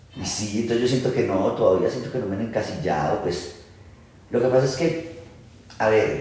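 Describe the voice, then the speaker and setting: A man with an Antioquian accent talks at a medium pitch and a moderate pace, with lively intonation and long, frequent pauses. Noticeable background noise and audible room echo are present. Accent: Antioquian (paisa) Spanish. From Antioquia, Colombia. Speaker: actor. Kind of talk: interview conversation. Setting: at home, casual recording.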